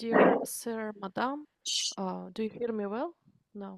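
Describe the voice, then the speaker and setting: A woman with a Ukrainian accent speaks at a very slow pace, with ordinary pitch variation and big swings in loudness. The sound is dry and close, with no echo. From Ukraine. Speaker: adult language student. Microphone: too quiet microphone.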